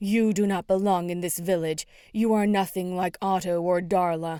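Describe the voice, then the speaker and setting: In a put-on character voice, a female-sounding speaker growls in an angry tone at a medium pitch and moderate pace, in a very clean recording with a silent background. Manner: growling, angry.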